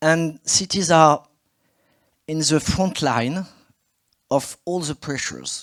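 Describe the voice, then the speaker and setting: Speaking very slowly, a man with a French accent uses a fairly high pitch and fairly even intonation. The sound is dry and close, with no echo. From France. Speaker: politician, city mayor. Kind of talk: conference speech. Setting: stage with audience.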